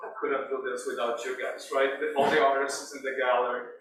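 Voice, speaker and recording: A man with lively intonation in audible room echo. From Brazil. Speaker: visual artist. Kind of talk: artist talk. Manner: halting, with many fillers.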